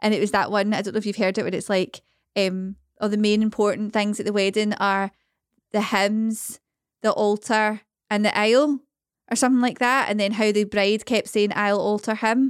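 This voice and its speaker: A woman speaks in a flat monotone with a Scottish accent, recorded very cleanly against a silent background. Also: fairly high pitch for a woman, moderate pace. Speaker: podcast co-host. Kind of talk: casual chat.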